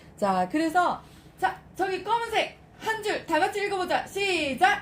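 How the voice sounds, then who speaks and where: Noticeable background noise fills the recording. Over it, a woman talks at a fairly slow pace. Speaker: lead instructor training lecturers. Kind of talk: training session with role-play demonstration. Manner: animated, addressing a group.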